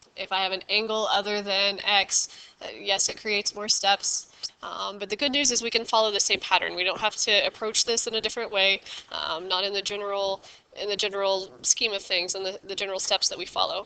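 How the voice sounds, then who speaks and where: Her intonation monotone and flat, a woman speaks at medium pitch and a fairly quick pace. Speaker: math teacher. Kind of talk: tutorial.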